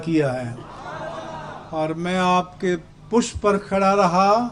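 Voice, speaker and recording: A high-pitched man over noticeable background noise. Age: 70s. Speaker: religious leader. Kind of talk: speech. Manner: formal.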